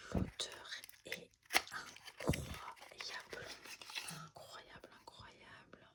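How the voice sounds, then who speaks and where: A woman whispers at a very slow pace, with long, frequent pauses. Noticeable background noise runs underneath. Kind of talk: ASMR unboxing, whispered product talk. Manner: whispered; calm, relaxed.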